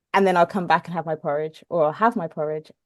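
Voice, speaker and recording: The sound is dry and close with no echo as a woman speaks at a fairly low pitch with fairly even intonation. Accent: English. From southern England (Portsmouth). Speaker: ultra runner. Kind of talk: casual interview chat. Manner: hesitant, with fillers.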